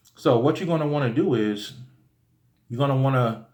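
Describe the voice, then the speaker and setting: A somewhat breathy man's voice carries audible room echo. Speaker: spiritual teacher. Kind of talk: tutorial. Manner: fast; casual, with many fillers.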